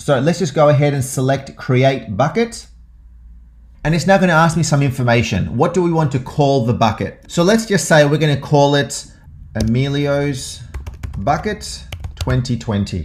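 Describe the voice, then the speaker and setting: With an Australian accent, a man talks at a moderate pace. His fairly high voice is somewhat breathy. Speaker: tech tutorial presenter. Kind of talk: tutorial. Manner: casual, many filler uhs.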